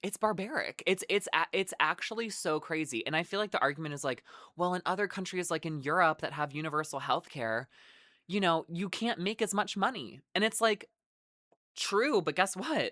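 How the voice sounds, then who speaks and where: A moderate pace in an American accent, on a very clean recording with a silent background. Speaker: vlogger on careers and personal finance. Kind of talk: casual monologue to camera. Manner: loud, heated rant; halting, many fillers and restarts.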